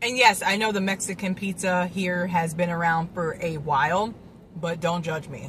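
A woman with a fairly low pitch and ordinary pitch variation at a moderate pace, in a dry sound with no echo and light background noise. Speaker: food vlogger. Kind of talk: casual vlog chat. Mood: relaxed, playful. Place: car. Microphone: phone near.

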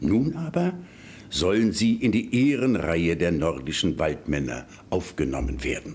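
Marked by vocal fry, the voice swings very widely in pitch while keeping a very even loudness at a fairly slow pace. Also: man, very deep, low pitch for a man. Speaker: news presenter. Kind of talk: fairy tale reading. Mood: warm, lively storytelling. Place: studio. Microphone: studio mic.

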